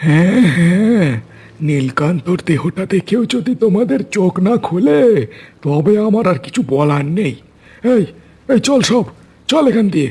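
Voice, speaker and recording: In a cartoonish character voice, a man speaks at a high pitch and moderate pace, his pitch swinging very widely while his loudness stays very even. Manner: harsh, bullying.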